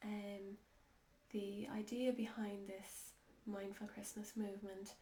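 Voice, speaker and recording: A woman with an Irish accent speaks very slowly at medium pitch in a monotone, flat way, with noticeable background noise behind her. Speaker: holistic life coach. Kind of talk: casual talk to camera. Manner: slow, hesitant.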